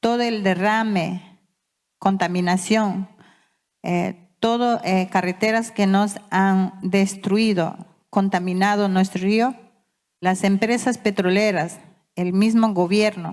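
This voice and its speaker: A very slow, monotone voice with flat intonation and very even loudness. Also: woman, medium pitch for a woman. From Ecuador, Amazon (Yasuní), Waorani people. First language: Waorani (Wao Tededo) (speaking Spanish). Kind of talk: conference speech. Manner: halting.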